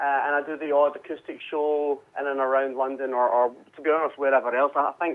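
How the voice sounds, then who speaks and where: A man's medium-pitched voice with a Scottish accent at a moderate pace. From Scotland, Glasgow. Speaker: musician. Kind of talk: radio interview. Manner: halting, many repetitions and fillers.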